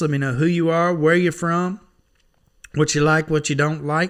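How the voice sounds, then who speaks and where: A man's high-pitched voice with a bright, sharp tone and an American accent, at a moderate pace with ordinary pitch variation, on a very clean recording with a silent background. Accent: hillbilly, country. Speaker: online Bible reader. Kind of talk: casual sign-off talk. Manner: folksy, relaxed.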